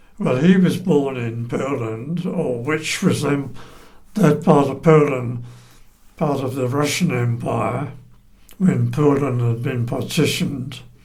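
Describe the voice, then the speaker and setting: A man talks at a very slow pace. There is audible room echo. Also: fairly high pitch for a man, ordinary pitch variation. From England. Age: 90s. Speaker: oral history interviewee. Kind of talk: oral history interview. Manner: halting.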